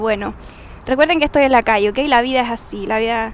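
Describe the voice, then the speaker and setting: A woman's lively intonation rises and falls against noticeable background noise. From Chile. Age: 30s. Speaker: podcaster. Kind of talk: personal monologue. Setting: outdoors on street. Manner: loud at times.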